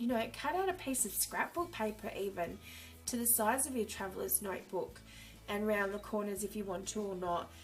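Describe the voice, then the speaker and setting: Over noticeable background noise, a woman speaks in an upbeat tone at a fairly quick pace. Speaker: journaling hobbyist. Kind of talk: casual talk to camera.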